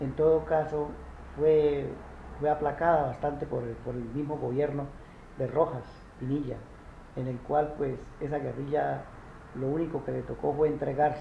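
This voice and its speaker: A man's fairly high, monotone voice at a moderate pace, flat in intonation with long, frequent pauses and audible room echo. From rural Colombia. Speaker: interviewee recalling the armed conflict. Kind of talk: interview. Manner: halting, many fillers and repetitions.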